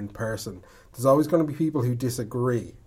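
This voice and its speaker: A man with an Irish accent, medium pitch, ordinary pitch variation and a moderate pace. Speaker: storyteller. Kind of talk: casual chat.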